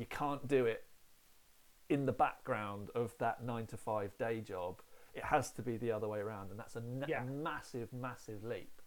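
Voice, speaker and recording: The pace is moderate and the pitch varies in an ordinary way. It is an ordinary speaking voice. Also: man, medium pitch for a man. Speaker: podcast host. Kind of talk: casual interview.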